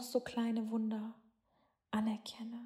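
A woman speaks in a gentle, warm, dark and mellow tone. Her fairly high voice stays in a monotone, flat intonation. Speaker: meditation guide. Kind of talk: guided meditation. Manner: slow, soft and soothing, with long calming pauses; gentle, warm and hypnotic, with affirmations in the first person.

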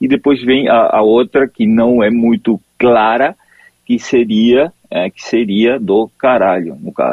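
At a very slow pace, a man with a Spanish accent speaks at a medium pitch with ordinary pitch variation. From Argentina, Corrientes. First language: Spanish (speaking Portuguese). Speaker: forensic expert. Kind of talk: phone interview. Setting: phone call. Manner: halting.

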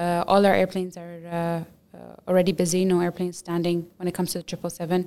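A woman's fairly low, dark and mellow voice in a flat monotone at a very fast pace. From UAE, Dubai. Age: 20s. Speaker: airline pilot. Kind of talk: interview. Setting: studio.

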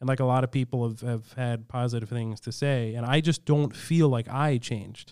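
A man with an ordinary speaking voice at medium pitch talks with hardly any pauses and fairly even intonation, on a very clean recording with a silent background. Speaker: comedian. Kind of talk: casual comedic banter. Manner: joking, quick-witted.

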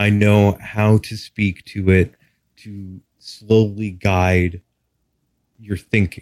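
A man with an American accent talks at a very deep, low pitch with fairly even intonation, recorded very cleanly against a silent background. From Texas. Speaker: hypnotherapist. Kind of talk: interview.

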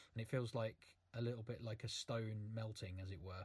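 Somewhat breathy and monotone, a man speaks at a fairly quick pace with flat intonation in a very clean recording with a silent background. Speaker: podcast host. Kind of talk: casual chat.

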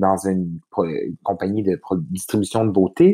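Heard against a quiet background, the voice has a dark, mellow tone and a dry, close sound with no echo. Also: man. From Quebec, Saguenay-Lac-Saint-Jean. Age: 30s. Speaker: PR agency vice-president. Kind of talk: casual interview.

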